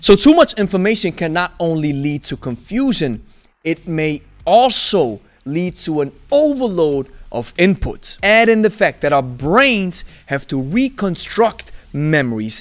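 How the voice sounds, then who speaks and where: A man speaks at a fairly slow pace with very wide pitch swings. The background is quiet. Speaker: kettlebell coach. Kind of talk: commentary. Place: home room. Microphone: studio mic.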